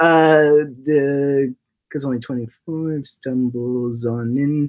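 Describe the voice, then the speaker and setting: Here a man speaks at a very slow pace. His pitch is fairly high. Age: 20s. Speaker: voice actor and livestream host. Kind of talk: casual livestream chat. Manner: animated; halting.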